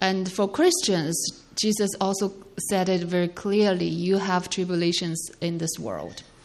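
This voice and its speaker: Amid noticeable background noise and audible room echo, a woman speaks at a fairly slow pace with medium pitch and fairly even intonation. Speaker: sermon interpreter. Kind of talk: consecutive interpretation of a sermon. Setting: church. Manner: halting, with many fillers.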